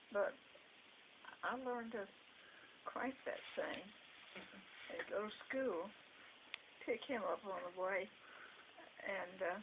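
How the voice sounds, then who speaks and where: Noticeable background noise sits behind the speech. A woman speaks very slowly, with long, frequent pauses. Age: 80s+. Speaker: retired school secretary. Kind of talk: storytelling interview answer.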